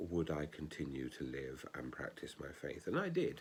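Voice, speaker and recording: With vocal fry and very wide pitch swings, a man talks at a fairly slow pace. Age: 60s. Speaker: ordained minister. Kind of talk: spoken reflection.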